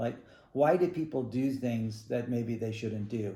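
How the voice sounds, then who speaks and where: A man's somewhat breathy voice, dark and mellow, at a moderate pace with ordinary pitch variation and audible room echo. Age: 60s. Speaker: ballet teacher and studio owner. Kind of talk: recorded statement to parents and students. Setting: video call. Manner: casual, halting with fillers.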